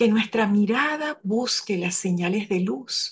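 Against a quiet background, a woman speaks very slowly at a medium pitch, somewhat breathy, with lively intonation. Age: 70s. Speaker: lay parish coordinator. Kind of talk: spoken reflection.

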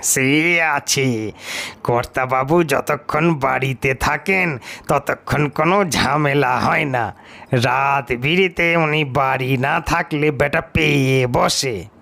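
A man puts on a gruff character voice, fairly high in pitch, and speaks very slowly. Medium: read story. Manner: rustic, deferential.

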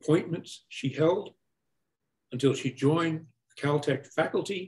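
A man speaks with a somewhat breathy voice. The background is quiet. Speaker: event host. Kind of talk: introduction and moderation. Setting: video call. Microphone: video call.

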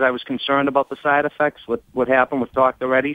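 With a Boston accent, a man talks at a very fast pace, the sound dry with no echo over a quiet background. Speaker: caller. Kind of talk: phone-in conversation. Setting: phone call. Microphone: phone line.

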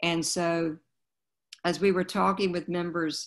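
This woman has an American accent and a fairly low pitch. Her intonation is fairly even, against a quiet background. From US South, Wilmington, North Carolina. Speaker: museum curator. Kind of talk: panel conversation. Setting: video call. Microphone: video call.

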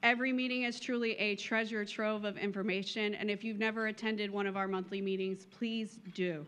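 Her loudness very even, a woman speaks at a fairly quick pace with fairly even intonation and hardly any pauses. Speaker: volunteer council chair. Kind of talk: speech. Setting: luncheon stage with audience. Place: hall. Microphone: podium.

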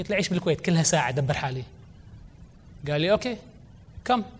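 A man speaks at a very fast pace and a high pitch, yet takes long, frequent pauses. His intonation is lively. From Kuwait. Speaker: entrepreneur and children's author; guest. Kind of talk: conference talk. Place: hall. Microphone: lapel.

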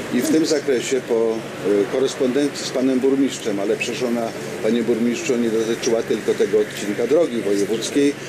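Fairly quick speech from a man, with noticeable noise in the background. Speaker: regional councillor. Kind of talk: public debate. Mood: calm, defensive explaining. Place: street. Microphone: handheld.

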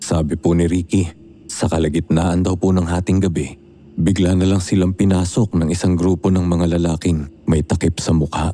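Here a man speaks with a very deep, low pitch at a moderate pace. His intonation is monotone and flat, and his loudness stays very even. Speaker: narrator. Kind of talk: horror story narration, reading a letter-sender's account aloud. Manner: measured storyteller pace, suspenseful and dramatic, polite.

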